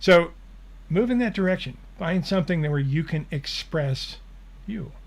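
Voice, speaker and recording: With lively intonation, a man's somewhat breathy voice carries each line. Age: 70s. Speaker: spiritual channeler and show host. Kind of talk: live Q&A, reading and answering viewer questions. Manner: casual, conversational.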